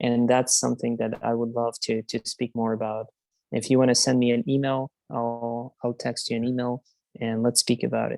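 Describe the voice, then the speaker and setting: The pace of the speech is moderate. Behind it, music can be heard. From Ukraine. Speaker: community meeting host. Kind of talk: casual chat.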